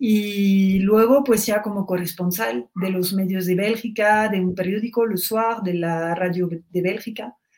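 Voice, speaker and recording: With a French accent, a woman talks at a fairly slow pace with hardly any pauses, her medium pitch showing ordinary variation. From Belgium, Brussels. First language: French (speaking Spanish). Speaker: journalist and author. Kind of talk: interview.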